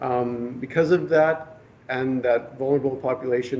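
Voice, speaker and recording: The speaker's intonation stays fairly even while noticeable background noise carries on behind. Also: man. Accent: Canadian. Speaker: government fisheries biologist. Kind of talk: presentation. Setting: public workshop with audience. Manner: soft-spoken; hesitant, many fillers.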